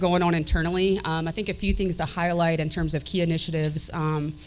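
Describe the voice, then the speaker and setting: Amid noticeable background noise and audible room echo, a woman in a Southern US accent talks at a fairly quick pace and a fairly low pitch. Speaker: state government director. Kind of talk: panel remarks. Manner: many fillers (um, uh).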